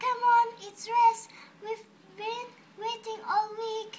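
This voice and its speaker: A put-on character voice squeaks at an extremely high pitch. It speaks at a very slow pace with monotone, flat intonation. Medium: read story.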